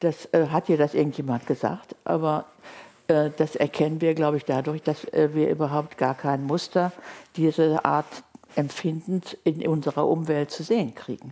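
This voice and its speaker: Her pitch very deep and low, a woman talks at a moderate pace in a dark, mellow tone with fairly even intonation. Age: 70s. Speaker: linguist and author. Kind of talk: interview. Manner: quiet, not loud.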